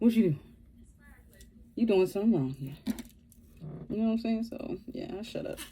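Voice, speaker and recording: A somewhat breathy woman's voice, fairly high in pitch, with very wide pitch swings, big swings in loudness, and long, frequent pauses. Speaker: vlogger. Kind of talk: casual storytime monologue. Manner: slow; rambling, halting.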